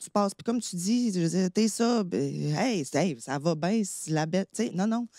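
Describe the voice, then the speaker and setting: The tone is dark and mellow, the pace fairly slow with hardly any pauses, the intonation lively, and the sound dry and close with no echo. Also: woman, medium pitch for a woman. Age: 30s. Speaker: actress. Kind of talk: personal testimony in casual chat.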